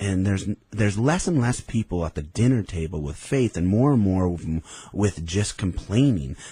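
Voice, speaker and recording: The voice has an American accent and a dark, mellow tone. It is somewhat breathy, with lively intonation. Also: man, fairly low pitch for a man, moderate pace, quiet background. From Idaho. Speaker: businessman. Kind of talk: radio interview. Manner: animated.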